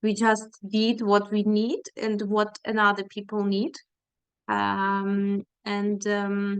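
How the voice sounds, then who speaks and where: A woman with a Ukrainian accent, a medium pitch, monotone, flat intonation and a very slow pace. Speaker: feminist activist, NGO worker. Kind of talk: panel presentation. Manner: halting, many fillers.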